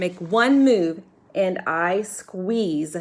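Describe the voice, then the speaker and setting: Growling in a put-on character voice, a woman speaks at medium pitch with ordinary pitch variation. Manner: snarling, menacing.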